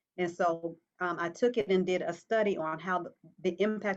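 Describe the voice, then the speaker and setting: A woman with an American accent, an ordinary speaking voice, a fairly low pitch, fairly even intonation and a moderate pace. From Virginia. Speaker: dance minister and pastoral counselor. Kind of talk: talk show interview.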